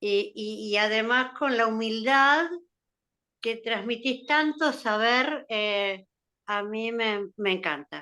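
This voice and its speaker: A woman speaks in a bright, sharp tone with a fairly high pitch. She goes at a very slow pace against a quiet background. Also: ordinary pitch variation. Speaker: psychoanalysis course participant. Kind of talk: question in online class. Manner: halting.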